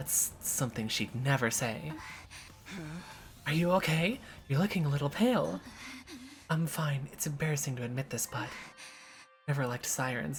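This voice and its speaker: With lively intonation and long, frequent pauses, a woman speaks at a moderate pace in a very deep, low voice over noticeable background noise. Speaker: video game streamer. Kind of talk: reading game text aloud.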